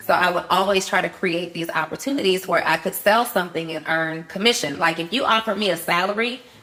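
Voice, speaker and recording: A woman talks at a very fast pace with hardly any pauses, at medium pitch with ordinary pitch variation. Her tone is animated, and there is noticeable background noise. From Atlanta, Georgia (born New Orleans). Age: 40s. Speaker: entrepreneur. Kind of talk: podcast interview, personal testimony.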